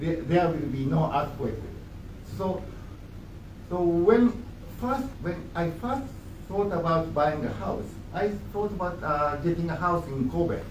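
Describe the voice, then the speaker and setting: A man with a Japanese accent and a high pitch speaks fairly slowly with lively intonation and long, frequent pauses, amid audible room echo and noticeable background noise. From western Japan, near Osaka. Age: 60s. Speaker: ambassador. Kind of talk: press conference remarks. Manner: halting, many fillers.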